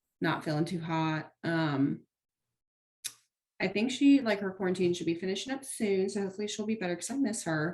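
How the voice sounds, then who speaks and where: A woman with a plain, everyday voice speaks at medium pitch. Her pace is fairly quick and her intonation lively. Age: 20s. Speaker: podcast co-host. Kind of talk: casual chat.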